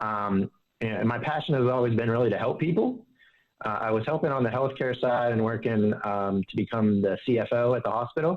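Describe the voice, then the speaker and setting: At a fairly quick pace, a man with a slight Southern US accent talks in a medium pitch, with very even loudness and ordinary pitch variation. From Pittsburgh area, US. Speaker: financial advisor. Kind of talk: interview.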